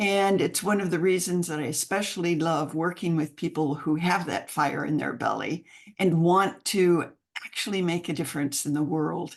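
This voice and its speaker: At a moderate pace, a woman with a plain, everyday voice and an American accent speaks at a fairly low pitch against a quiet background. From United States. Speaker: mentoring program founder. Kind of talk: podcast interview. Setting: call.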